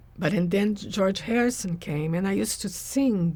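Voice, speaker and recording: A woman speaks with a Portuguese accent at a medium pitch, her pitch varying in an ordinary way. The recording is very clean, with a silent background. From Brazil. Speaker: spiritual teacher. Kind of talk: interview. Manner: hesitant, with fillers.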